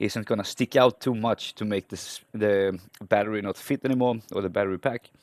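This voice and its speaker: The speaker has a non-native accent and fairly even intonation. The sound is dry and close, with no echo. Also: man. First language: not English. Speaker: hobbyist electronics repairer. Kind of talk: voice-over narration of repair video. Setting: home workbench. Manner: halting, with self-corrections; casual.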